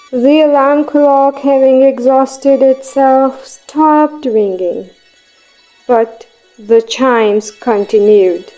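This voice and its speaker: A woman's very slow delivery over music in the background. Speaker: voice actor. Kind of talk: audiobook narration.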